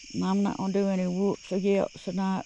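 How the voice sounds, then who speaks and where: Moderate pace in a Southern US accent. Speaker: outdoor vlogger. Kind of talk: casual vlog narration. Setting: outdoors at night by a lake.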